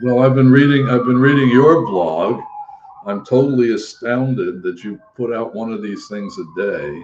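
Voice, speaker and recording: Noticeable background noise surrounds a man who speaks at a moderate pace and medium pitch with lively intonation. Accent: American. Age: 80s. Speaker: aging and mental health advocate. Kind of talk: interview conversation. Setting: live video stream.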